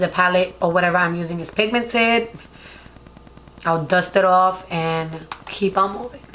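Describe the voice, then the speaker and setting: A woman speaks at a medium pitch with a Spanish accent. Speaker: beauty vlogger. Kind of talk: makeup tutorial. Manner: casual, chatty.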